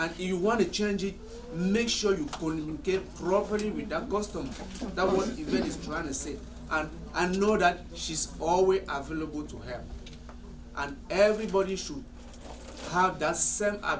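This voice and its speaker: A man's high-pitched voice at a moderate pace, with ordinary pitch variation and long, frequent pauses, over noticeable background noise and audible room echo. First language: French. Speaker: salon owner. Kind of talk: staff meeting discussion.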